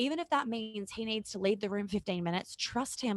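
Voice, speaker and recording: Her voice sits fairly high, with ordinary pitch variation. The woman's sound is dry and close with no echo, over a quiet background. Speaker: relationship coach. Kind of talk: podcast interview. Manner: fast.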